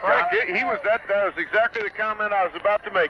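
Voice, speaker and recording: A man's raised, projected voice, dry and close with no echo, over noticeable background noise. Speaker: radio color commentator. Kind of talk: live radio sports color commentary. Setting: radio broadcast from a football stadium, 1978 recording.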